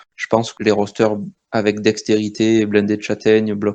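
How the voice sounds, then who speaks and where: Over a quiet background, a man speaks in a dark, mellow tone at a fairly low pitch, with monotone, flat intonation at a moderate pace. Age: 30s. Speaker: gamer. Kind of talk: interview. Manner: hesitant.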